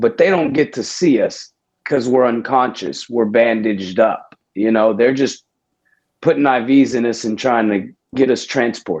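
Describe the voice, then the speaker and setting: Speaking with a Texan accent, a man uses a medium pitch, ordinary pitch variation and a moderate pace. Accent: Texan American. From Houston, Texas. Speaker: army veteran. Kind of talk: casual interview.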